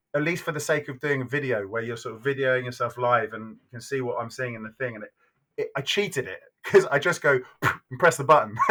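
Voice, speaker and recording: Speaking very fast, a man with an English accent has an animated, bright, sharp tone. His loudness swings widely. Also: medium pitch for a man, ordinary pitch variation. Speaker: neuroscientist. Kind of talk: casual podcast chat. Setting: at home, evening. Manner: animated, fast.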